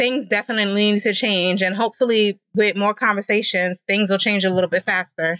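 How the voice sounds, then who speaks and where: With an American accent, a woman speaks in a normal speaking voice at a medium pitch and a fairly quick pace. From Queens, New York. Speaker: animation nonprofit co-founder and publicist. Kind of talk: interview.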